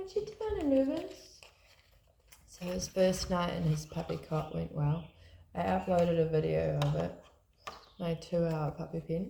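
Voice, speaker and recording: A woman with a New Zealand accent speaks at a fairly slow pace, leaving long, frequent pauses. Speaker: tarot card reader. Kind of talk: tarot reading, casual talk to camera.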